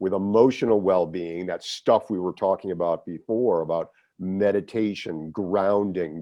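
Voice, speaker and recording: In a plain, everyday voice, a man speaks fairly low in pitch at a fairly slow pace, with ordinary pitch variation. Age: 60s. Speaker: executive coach, former lawyer. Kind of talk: interview conversation.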